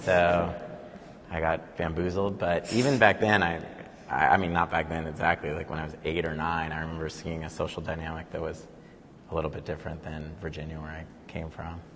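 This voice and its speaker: A man with a Californian accent talks fairly quickly in a very deep, low voice, keeping a fairly even intonation. His loudness swings widely, and there is noticeable background noise. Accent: Californian American. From Silicon Valley, California. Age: 40s. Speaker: conceptual artist. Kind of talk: panel conversation. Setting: live event in a gallery.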